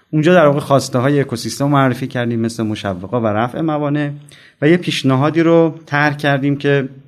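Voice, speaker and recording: A man with an unremarkable speaking voice talks fairly quickly at a fairly high pitch. His pitch varies in an ordinary way against a quiet background. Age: 40s. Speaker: venture fund director. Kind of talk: interview. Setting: side of an event.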